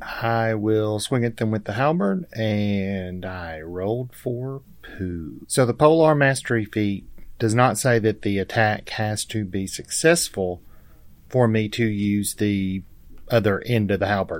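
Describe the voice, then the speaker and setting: A plain, everyday voice from a man, fairly low in pitch, with ordinary pitch variation and a fairly slow pace, on a very clean recording with a silent background. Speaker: tabletop game player. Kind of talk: casual role-play chat.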